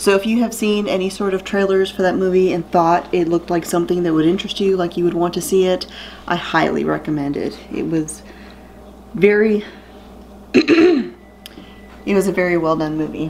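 A woman talks at a moderate pace with ordinary pitch variation and long, frequent pauses over light background noise. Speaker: vlogger. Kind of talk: casual vlog chat. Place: home room. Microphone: phone near.

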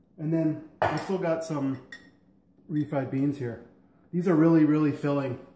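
A man with fairly even intonation over noticeable background noise. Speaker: home cook vlogger. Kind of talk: casual cooking vlog chat. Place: kitchen. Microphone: camera far.

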